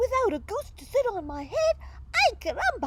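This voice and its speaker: A woman's squeaky, put-on character voice at an extremely high pitch, with very wide pitch swings and a moderate pace, over loud background noise. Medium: read story.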